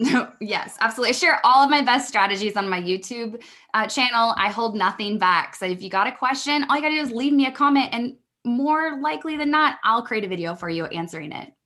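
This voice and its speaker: A woman speaks at a fairly high pitch with a bright, sharp tone and lively intonation. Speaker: business mentor. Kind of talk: podcast interview. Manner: fast; conversational, hesitant fillers.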